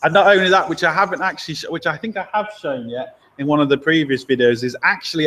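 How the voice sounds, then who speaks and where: With an English accent, a man speaks in a fairly high pitch with ordinary pitch variation. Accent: English accent, commented on by viewers. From England, Lincoln. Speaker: mechanic and channel host. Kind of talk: live stream chat answering viewer questions. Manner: casual, chatty.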